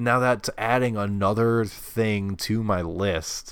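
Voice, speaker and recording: The man's voice is fairly low. He has an American accent, and the recording is very clean against a silent background. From New York. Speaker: podcast co-host. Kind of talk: casual chat.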